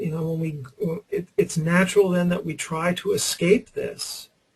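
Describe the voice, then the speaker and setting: Speaking at a fairly slow pace, a man has a high-pitched voice. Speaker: trading psychology coach. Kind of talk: webinar lecture. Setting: online webinar.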